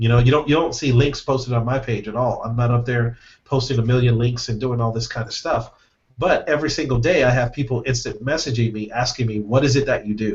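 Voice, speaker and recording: Somewhat breathy male voice at a medium pitch, going very fast. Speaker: affiliate marketer. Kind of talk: webinar training.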